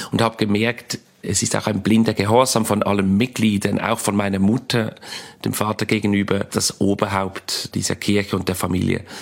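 A man's fairly low voice in a monotone, with flat intonation. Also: moderate pace. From Switzerland, Basel. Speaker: comedian. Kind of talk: interview.

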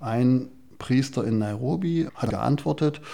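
A man speaks with a dark, mellow tone. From Saxony, Chemnitz. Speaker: doctor. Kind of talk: interview testimony.

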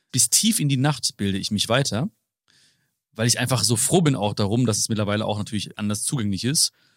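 The sound is dry and close, with no echo. A man talks fairly quickly with lively intonation. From Germany, Hagen (Ruhr area). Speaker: author and motivational speaker. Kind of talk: interview conversation.

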